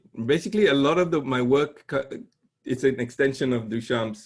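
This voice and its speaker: An unremarkable speaking voice from a man, with lively intonation. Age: 60s. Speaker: conceptual artist and professor. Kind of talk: casual interview conversation.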